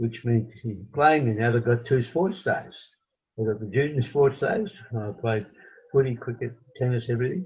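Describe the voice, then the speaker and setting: A somewhat breathy man with an Australian accent, medium pitch and a moderate pace. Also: ordinary pitch variation. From Australia, Melbourne. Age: 80s+. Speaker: retired footballer and coach. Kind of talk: interview. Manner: halting.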